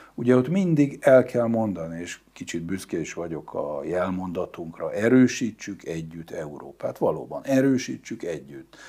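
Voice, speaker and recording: A man's voice carries a dark, mellow tone. His pitch swings very widely. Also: quiet background. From Hungary. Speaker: diplomat; interview guest. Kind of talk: interview. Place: studio. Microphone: lapel.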